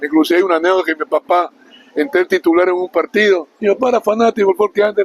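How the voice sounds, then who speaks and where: A high-pitched man talks at a very fast pace, the sound dry and close with no echo but with noticeable background noise. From Esmeraldas, Ecuador. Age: 60s. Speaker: former amateur footballer. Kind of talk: interview.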